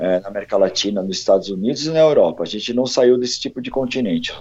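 A man is speaking. His pace is very fast. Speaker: heavy metal singer. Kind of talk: casual interview.

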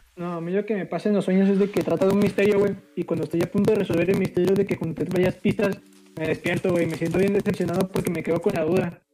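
A high-voiced man talks at a very fast pace with fairly even intonation. Noticeable background noise is present. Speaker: podcast co-host. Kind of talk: casual chat.

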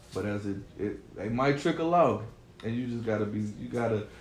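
At a moderate pace, a man with an American accent talks at a medium pitch with ordinary pitch variation. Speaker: artist manager. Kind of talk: casual chat.

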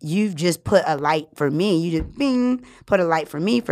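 A plain, everyday voice from a woman, fairly low in pitch, with lively intonation at a moderate pace. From New Orleans, US South. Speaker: podcast host. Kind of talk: casual interview chat.

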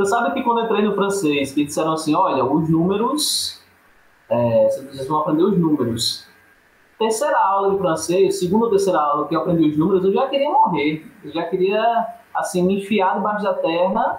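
A man's high-pitched voice amid audible room echo and noticeable background noise. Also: lively intonation, moderate pace. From Paraíba, Brazilian Northeast. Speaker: literature scholar. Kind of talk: casual chat.

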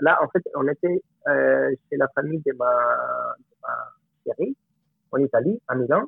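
The speech is very slow, in a Spanish accent, broken by long, frequent pauses. Loudness swings widely. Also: man. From Colombia. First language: Spanish (speaking French). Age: 30s. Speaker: film director. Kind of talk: interview. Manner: halting.

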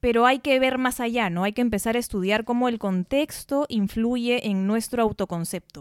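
Recorded very cleanly against a silent background, dry and close with no echo, a woman with a fairly high pitch talks at a moderate pace with ordinary pitch variation and hardly any pauses. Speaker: podcast co-host, lawyer. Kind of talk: casual chat.

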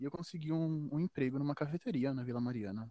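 The man's voice has a dark, mellow tone. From Minas Gerais, Brazil. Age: 20s. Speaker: photographer. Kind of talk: interview. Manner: halting, with repetitions.

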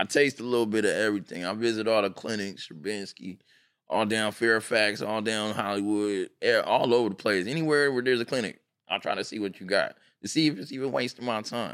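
A man with a plain, everyday voice, fairly low-pitched, with an American accent at a fairly quick pace on a very clean recording with a silent background. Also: ordinary pitch variation. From Pomona, Southern California. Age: 40s. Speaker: clothing brand owner. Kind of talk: casual chat.

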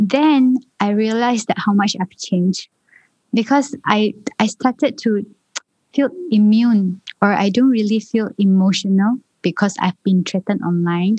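A soft-spoken woman at a fairly high pitch, somewhat breathy with a dark, mellow tone, very even loudness and a fairly slow pace, in dry, close sound with no echo. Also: ordinary pitch variation. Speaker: state politician. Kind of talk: interview discussion.

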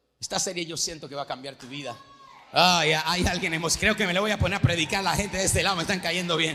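Over noticeable background noise, a man with a high pitch talks at a very fast pace in an animated tone, his loudness swinging widely while his pitch varies in an ordinary way. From Venezuela. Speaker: pastor. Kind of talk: sermon. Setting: church.

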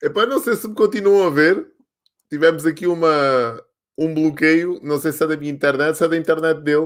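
In an animated tone, a man with a fairly high pitch talks at a moderate pace with ordinary pitch variation. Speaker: live show host. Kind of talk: casual interview. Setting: online live stream.

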